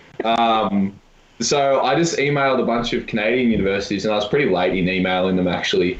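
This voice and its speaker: Talking at a fairly quick pace, a man with an Australian accent uses a fairly low pitch with ordinary pitch variation. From Australia, Melbourne. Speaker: university volleyball player. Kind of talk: casual chat.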